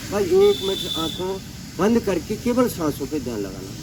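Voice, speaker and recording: A man with a high voice is heard over noticeable background noise. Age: 60s. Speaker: yoga practitioner. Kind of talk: testimonial talk about personal experience.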